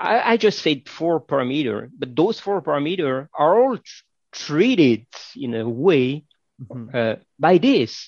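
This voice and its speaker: Over a quiet background, a man with a fairly high pitch speaks at a fairly slow pace, his pitch swinging very widely. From France. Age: 50s. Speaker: entrepreneur and scientist. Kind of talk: interview.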